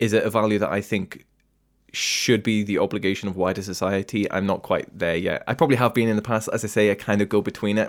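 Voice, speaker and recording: Fairly low in pitch, a man talks at a fairly quick pace with fairly even intonation. The recording is very clean, with a silent background. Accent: British. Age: young. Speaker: political commentator. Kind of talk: debate.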